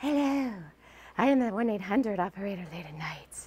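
This is a put-on character voice. It sounds female and sits at a medium pitch. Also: moderate pace. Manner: sultry, suggestive.

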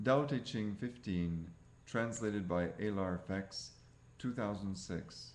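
At a very slow pace, a man talks with a fairly low pitch. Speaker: reader of translated texts. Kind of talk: audiobook-style reading aloud of translated scripture. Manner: formal, even, deliberate. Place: home room. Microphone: webcam.

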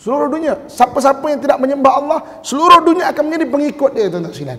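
A man speaks at a very fast pace in an extremely high pitch. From Malaysia. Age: middle-aged. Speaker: religious teacher. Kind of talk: mosque lecture. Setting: mosque. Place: hall. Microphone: podium.

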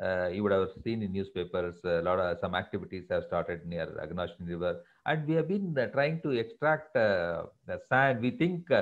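A man with an Indian accent speaks in very wide pitch swings against a quiet background. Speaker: professor and former scientist, guest speaker; professor giving a webinar talk. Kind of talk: webinar lecture. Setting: video call webinar. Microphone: video call.

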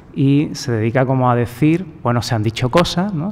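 At a fairly quick pace, a man delivers his words. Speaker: debate moderator. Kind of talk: moderator's opening remarks at a panel. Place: hall.

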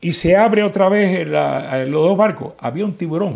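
Against a quiet background, a man speaks at a high pitch with lively intonation. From Cuba, Santiago de Cuba; Cuba. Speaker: political activist, Cuban exile; interviewee. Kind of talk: interview. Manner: halting, many repetitions. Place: office.

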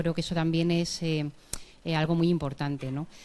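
A woman talks at a fairly quick pace in a fairly low pitch. Her intonation is monotone and flat. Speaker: university professor. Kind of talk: short closing speech. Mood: warm, grateful. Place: hall. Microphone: handheld.

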